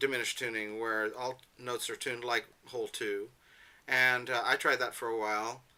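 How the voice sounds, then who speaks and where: A man is speaking. His tone is bright and sharp. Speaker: harmonica player and instrument retuner. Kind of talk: seminar lecture rehearsal. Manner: fast; halting, many fillers.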